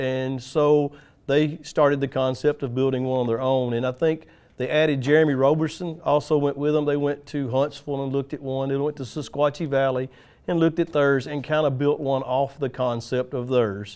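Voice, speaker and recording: This man speaks at a moderate pace with a Tennessee accent. His fairly high pitch stays monotone, with flat intonation. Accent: US Southern (Tennessee). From West Tennessee, Jackson. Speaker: utility lineman. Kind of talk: podcast interview.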